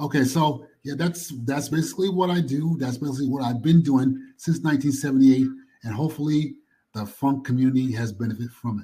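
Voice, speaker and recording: Speaking fairly quickly with an American accent, a man has a dark, mellow, somewhat breathy tone, a fairly high pitch and ordinary pitch variation. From New York (Queens). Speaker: music archivist and historian. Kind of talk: interview. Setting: call from a library. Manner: soft-spoken.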